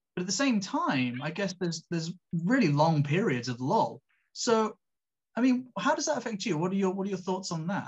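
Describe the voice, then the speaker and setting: A high-pitched man with a British accent, very wide pitch swings and a moderate pace, against a quiet background. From England. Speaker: podcast host and sports commentator. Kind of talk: casual interview. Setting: video call. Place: home room. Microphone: video call.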